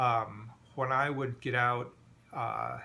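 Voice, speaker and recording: A man's bright, sharp tone at a medium pitch, in a monotone, flat intonation. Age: 60s. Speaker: patient sharing medical experience. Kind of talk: personal video diary. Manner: hesitant, many fillers.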